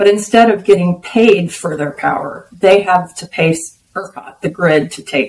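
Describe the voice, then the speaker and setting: With an American accent, a woman speaks in a plain, everyday voice at a medium pitch and moderate pace, with ordinary pitch variation. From Texas. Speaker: bitcoin business development executive. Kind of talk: interview.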